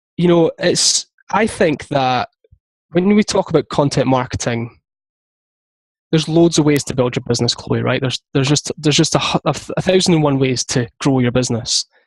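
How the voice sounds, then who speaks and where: A man speaks at a fairly quick pace in a fairly high pitch, somewhat breathy, with ordinary pitch variation, recorded dry and close with no echo. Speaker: content marketing business founder. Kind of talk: interview. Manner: fast.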